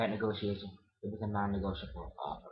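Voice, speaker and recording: A man talks with a somewhat breathy voice. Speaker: vlogger. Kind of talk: casual chat.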